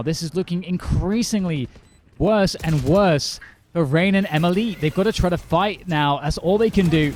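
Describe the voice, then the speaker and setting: Against noticeable background noise, a man speaks with a high pitch and ordinary pitch variation. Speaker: esports caster. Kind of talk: live commentary. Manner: fast, energetic play-by-play.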